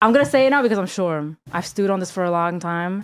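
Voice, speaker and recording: A woman speaks with an animated tone. Her pitch sits in the medium range. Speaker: podcast co-host. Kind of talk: casual chat. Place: studio. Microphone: studio mic.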